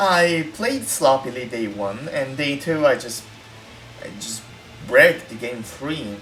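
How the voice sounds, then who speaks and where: The speaker has an Italian accent. Music plays in the background. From Italy. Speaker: gaming content creator. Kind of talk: casual chat. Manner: halting.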